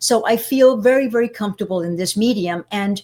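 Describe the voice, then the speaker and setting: A woman with a Spanish accent speaks at a moderate pace in a medium pitch with ordinary pitch variation, on a very clean recording with a silent background. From Cuba, raised in the United States. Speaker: public speaking coach, former broadcaster. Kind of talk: interview.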